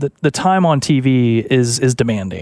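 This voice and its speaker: An ordinary speaking voice carries an American accent with ordinary pitch variation. The sound is dry and close with no echo. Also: man. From US South, Arkansas. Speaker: sports radio co-host. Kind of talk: casual chat.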